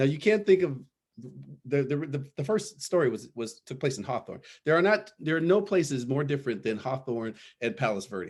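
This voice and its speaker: The man has a fairly high pitch and an American accent. He moves quickly and his pitch swings very widely. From Los Angeles area, California. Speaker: panelist parent. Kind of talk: panel discussion, personal story. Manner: halting, many repetitions.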